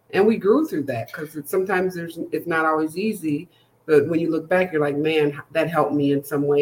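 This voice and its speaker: In an American accent, a woman with a very deep, low pitch speaks at a fairly quick pace with fairly even intonation. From Minnesota. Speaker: podcast host and life coach. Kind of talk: casual interview.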